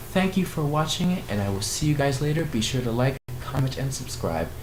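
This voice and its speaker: Noticeable background noise and audible room echo surround a man speaking at a fairly quick pace in a fairly high pitch. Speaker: YouTuber reviewing movie trailers. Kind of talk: casual vlog reaction commentary. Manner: rambling, with filler words.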